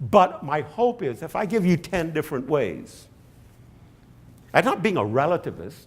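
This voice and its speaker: In a very clean recording with a silent background, a man with fairly high pitch and vocal fry swings very widely in pitch and takes long, frequent pauses. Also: moderate pace. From British West Indies. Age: 70s. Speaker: professor. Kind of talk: lecture Q&A. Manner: halting, repetitive.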